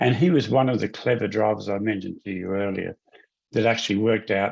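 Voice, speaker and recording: A man with an Australian accent, fairly low in pitch, fairly even in intonation, and fairly quick in pace. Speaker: motorsport series executive. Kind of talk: interview.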